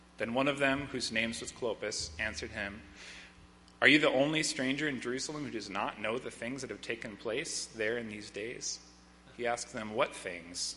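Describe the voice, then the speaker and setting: A man uses a normal speaking voice, pitched medium with ordinary pitch variation, as he talks at a moderate pace. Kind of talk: reading aloud. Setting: church.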